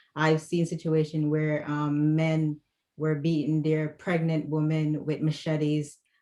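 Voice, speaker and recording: A woman speaks at a fairly slow pace in a very deep, low pitch with a dark, mellow tone, monotone, flat intonation, and very even loudness. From Jamaica, Kingston. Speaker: domestic violence conference panelist. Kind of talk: panel discussion testimony.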